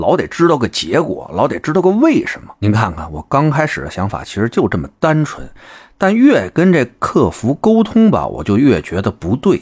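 A man talks at a moderate pace with hardly any pauses and a slight Beijing accent. His loudness swings widely, and the recording is very clean with a silent background. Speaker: online commentary host. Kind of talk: casual monologue. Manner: animated.

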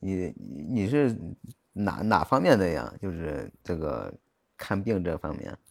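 Very slow and broken by long, frequent pauses, a man's voice carries vocal fry at a very deep, low pitch. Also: lively intonation. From Jiaozuo, Henan, China. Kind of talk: casual chat. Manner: halting.

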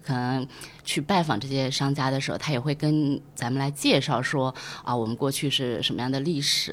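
Against noticeable background noise, a woman with very deep, low pitch and fairly even intonation speaks at a moderate pace. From Zhejiang, Taizhou. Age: 30s. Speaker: brand operations specialist. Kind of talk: casual chat.

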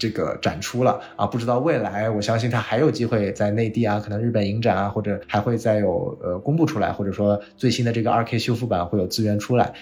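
At a fairly quick pace, a man of medium pitch talks in a plain, everyday voice. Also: ordinary pitch variation, hardly any pauses. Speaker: film industry worker and podcast host. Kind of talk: casual chat.

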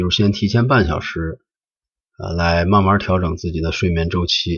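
A man talks at a fairly slow pace. His fairly low voice sounds somewhat breathy. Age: 40s. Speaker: podcast host. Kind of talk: solo podcast monologue. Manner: halting, with frequent filler sounds.

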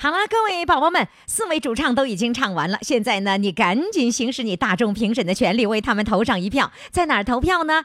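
A woman's high voice with very wide pitch swings and hardly any pauses, over noticeable background noise. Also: fairly quick pace. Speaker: radio host. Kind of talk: live radio call-in show with audience. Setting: stage with audience.

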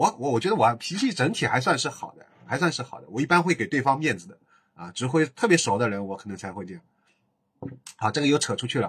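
Very fast speech from a medium-pitched man, with very wide pitch swings and big swings in loudness, on a very clean recording with a silent background. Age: 40s. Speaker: podcaster. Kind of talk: casual monologue.

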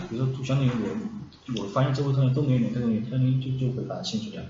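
A man's medium-pitched voice at a very fast pace, with noticeable background noise and audible room echo. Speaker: app developer. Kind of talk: casual chat.

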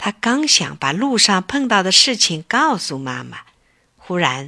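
An unforced reading voice is heard throughout.

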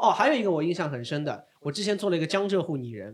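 This man's voice is high for a man. He speaks with lively intonation. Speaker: stand-up comedian and author. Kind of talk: casual chat. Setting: stage with audience.

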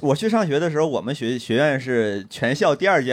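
The speaker is a man with a fairly high pitch. His voice swings very widely in pitch. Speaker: stand-up comedian. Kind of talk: casual chat.

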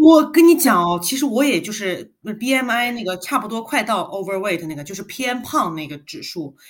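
At a moderate pace, this somewhat breathy voice makes very wide pitch swings and big swings in loudness. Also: woman, fairly high pitch for a woman, hardly any pauses. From China, Guangzhou. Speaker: podcast co-host. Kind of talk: casual chat.

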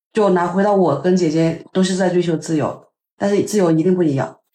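A fairly low-pitched woman talks at a fairly quick pace in a dark, mellow tone. Her pitch varies in an ordinary way, and the room echo is audible. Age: 30s. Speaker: podcast host, advertising worker. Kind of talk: casual chat.

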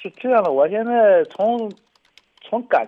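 A man talking at a moderate pace. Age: 40s. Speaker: caller. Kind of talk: personal testimony on call-in radio.

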